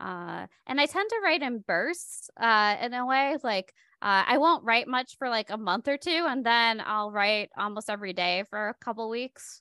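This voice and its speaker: A woman's bright, sharp voice in an American accent, with lively intonation and hardly any pauses, dry and close with no echo against a quiet background. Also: fairly high pitch for a woman, moderate pace. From Michigan, US. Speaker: poet and author. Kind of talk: casual interview. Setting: video call. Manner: laughs often, conversational.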